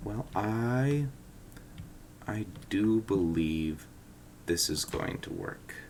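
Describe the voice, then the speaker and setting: A man speaks quietly at a very slow pace, with long, frequent pauses. His pitch is fairly low and his intonation lively. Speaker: gaming YouTuber. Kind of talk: gameplay commentary. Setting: home living room, early morning. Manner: quiet, early-morning talk; hesitant, many fillers.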